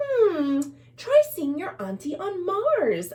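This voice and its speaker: A woman puts on a squeaky character voice at an extremely high pitch. She talks at a very slow pace with very wide pitch swings. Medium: read story. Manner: warm, soothing.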